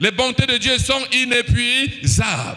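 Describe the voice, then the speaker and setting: A man's high, raised and projected voice carries over noticeable background noise. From Cameroon. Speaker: preacher. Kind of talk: sermon. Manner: animated.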